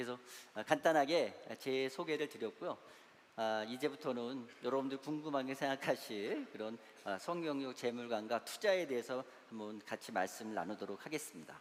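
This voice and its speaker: A man at medium pitch and moderate pace, with ordinary pitch variation. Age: 60s. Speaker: church elder and investment adviser, guest lecturer. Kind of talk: lecture. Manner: halting, many fillers.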